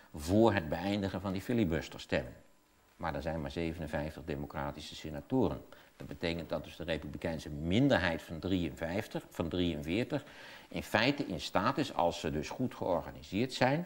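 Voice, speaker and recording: At a moderate pace, a man speaks in a very deep, low pitch. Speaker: interview guest, commentator on politics. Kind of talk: interview answer. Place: studio.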